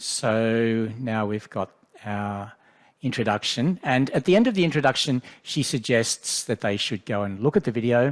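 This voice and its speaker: At a moderate pace, a man with an Australian accent speaks at medium pitch with ordinary pitch variation, in a dry, close sound with no echo on a very clean recording with a silent background. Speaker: education specialist leading a software workshop. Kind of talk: tutorial.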